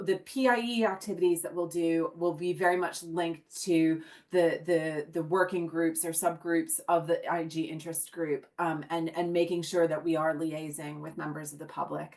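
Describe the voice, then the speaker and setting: Hardly pausing at all, a woman with an American accent speaks at a moderate pace and a fairly low pitch, her intonation fairly even. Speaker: research governance group lead. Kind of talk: online meeting presentation. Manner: hesitant, many filler words.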